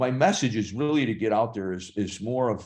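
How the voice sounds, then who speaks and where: At a fairly quick pace, a man with an unremarkable speaking voice talks with ordinary pitch variation. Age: 60s. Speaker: actor and fitness trainer. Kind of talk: podcast interview.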